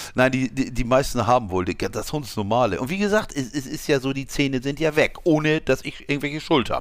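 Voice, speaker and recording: Fairly quick speech from a man, medium in pitch. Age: 50s. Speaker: podcast co-host. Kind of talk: casual chat. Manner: halting.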